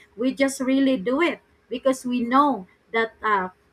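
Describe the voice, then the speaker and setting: In a raised, projected voice, a woman speaks at a high pitch with a bright, sharp tone and a fairly slow pace. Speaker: live show host. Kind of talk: online interview.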